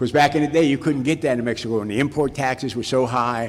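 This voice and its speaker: This is a man with an ordinary speaking voice. His pitch is medium, with ordinary pitch variation. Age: 60s. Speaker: recovery speaker at a Cocaine Anonymous event. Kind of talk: personal testimony talk. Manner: casual storytelling with repetitions.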